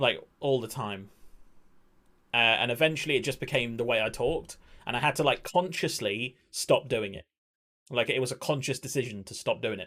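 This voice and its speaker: Speaking in an English accent, a man uses a medium pitch and a bright, sharp tone. He talks at a fairly quick pace with ordinary pitch variation and big swings in loudness. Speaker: video game streamer. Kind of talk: casual game commentary. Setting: live stream. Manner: stumbling over words.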